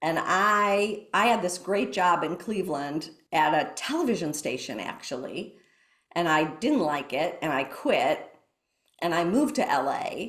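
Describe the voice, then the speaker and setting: A woman with an American accent, fairly low in pitch, fairly slow, with very wide pitch swings and audible room echo. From US Midwest. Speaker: mindfulness teacher. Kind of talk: interview.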